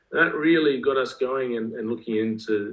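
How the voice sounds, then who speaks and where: A fairly quick-paced man with an Australian accent. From Australia, rural Queensland. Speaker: school athletics director. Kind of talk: podcast interview.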